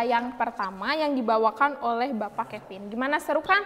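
With ordinary pitch variation, a woman talks in a high voice at a moderate tempo. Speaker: student event MC. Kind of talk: event hosting. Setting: video call. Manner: energetic. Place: studio.

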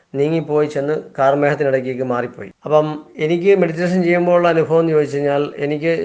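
This man holds a fairly high pitch and fairly even intonation. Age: 50s. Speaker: meditation practitioner. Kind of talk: testimony. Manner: halting.

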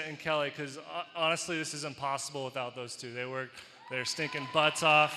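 Over light background noise, a man talks quickly with fairly high pitch. His intonation stays fairly even. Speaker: college volleyball head coach. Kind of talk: acceptance speech. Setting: arena with live audience. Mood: grateful, warm. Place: hall. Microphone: handheld.

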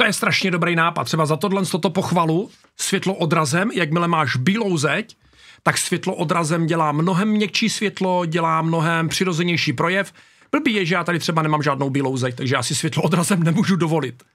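A man speaks at a fairly quick pace in a high pitch with ordinary pitch variation. His loudness stays very even over a quiet background. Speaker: YouTuber reacting to videos. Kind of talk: casual reaction video commentary. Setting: home studio. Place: home room. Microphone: studio mic.

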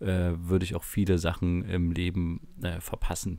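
A man's tone is dark and mellow in this very clean recording, where the background is silent. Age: 20s. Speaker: podcast co-host. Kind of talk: casual chat. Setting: home recording in a bedroom.

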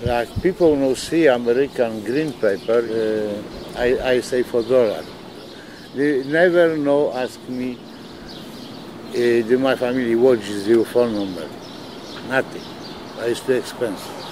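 A man with a Polish accent at a medium pitch, with ordinary pitch variation, long, frequent pauses and noticeable background noise. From Poland. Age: 70s. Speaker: night-shift deli worker. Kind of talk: documentary interview answer.

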